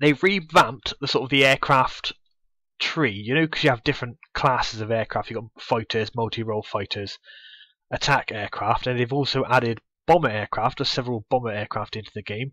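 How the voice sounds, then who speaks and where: Over a quiet background, a man with a Bristol accent talks at a fairly quick pace and medium pitch in a bright, sharp tone, with big swings in loudness. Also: ordinary pitch variation, dry, close sound with no echo. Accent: Bristolian English. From Bristol, England. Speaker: gaming youtuber. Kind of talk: gameplay commentary. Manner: casual, many fillers.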